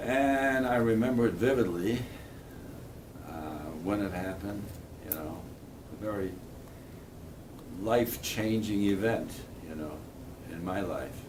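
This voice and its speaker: Fairly low-pitched male speech at a fairly slow pace, ordinary pitch variation, long and frequent pauses, and audible room echo. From Poland. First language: Polish. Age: 80s+. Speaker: Holocaust survivor. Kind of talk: testimony.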